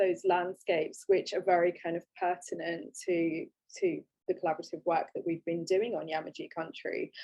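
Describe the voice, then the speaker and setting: The speaker is a woman with a British accent. She talks at a moderate speed. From England. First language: Gujarati. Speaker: photographic artist. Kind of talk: online panel talk. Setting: online video talk. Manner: halting, many fillers.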